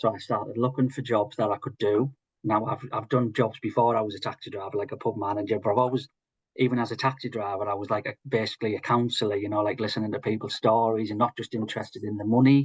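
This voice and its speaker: A man talks at a very fast pace in a monotone, flat intonation, somewhat breathy. The sound is dry and close with no echo, over a quiet background. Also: medium pitch for a man. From northern England, Hartlepool. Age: 40s. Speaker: social prescriber. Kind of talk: interview testimony.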